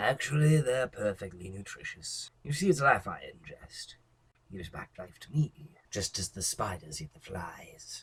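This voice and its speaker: The pace is moderate. The speaker uses a put-on character voice. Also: man, medium pitch for a man. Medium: read story. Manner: obsessive, unhinged.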